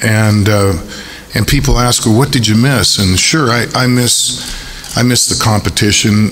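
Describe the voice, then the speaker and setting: There is noticeable background noise and audible room echo as a man talks at a moderate pace with fairly even intonation. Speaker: university athletic director. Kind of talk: press conference. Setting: press conference at a stadium. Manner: hesitant with many fillers.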